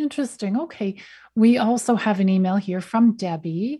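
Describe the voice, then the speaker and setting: A woman speaks at a moderate pace in a medium pitch, with a dark, mellow tone. Her voice is somewhat breathy over a quiet background. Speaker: radio host. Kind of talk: interview.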